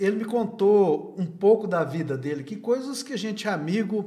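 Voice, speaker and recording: Noticeable background noise sits behind this recording. A man speaks at a high pitch and a moderate pace. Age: 60s. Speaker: videocast host. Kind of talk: interview.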